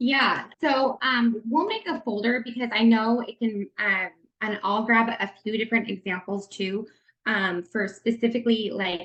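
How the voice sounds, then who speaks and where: A woman's fairly high voice at a fairly slow pace, a plain, everyday voice with ordinary pitch variation. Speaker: network marketing leader giving a training. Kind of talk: online training presentation.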